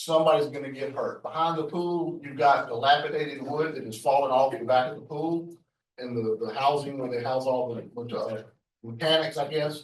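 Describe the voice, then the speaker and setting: A man with a Southern US accent talks at a fairly quick pace, fairly high pitched, with fairly even intonation and big swings in loudness. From US South, South Carolina (Richland County). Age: 60s. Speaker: public commenter at board meeting. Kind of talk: public comment. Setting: public meeting.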